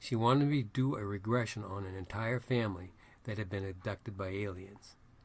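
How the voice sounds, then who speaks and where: Somewhat breathy and fairly low, a man's voice carries a New England accent. He speaks at a fairly quick pace with fairly even intonation. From Maine, US. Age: 70s. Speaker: astrologer and psychic reader. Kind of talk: self-promotional monologue.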